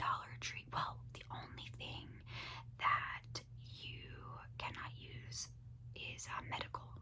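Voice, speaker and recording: Whispering at a very slow pace, a woman sounds relaxed in tone amid noticeable background noise. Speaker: ASMR creator. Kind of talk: whispered ASMR ramble to camera. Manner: soft-spoken, whispered, relaxed.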